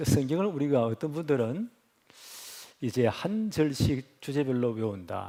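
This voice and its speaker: A man talks in a dark, mellow tone. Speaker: pastor. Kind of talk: sermon.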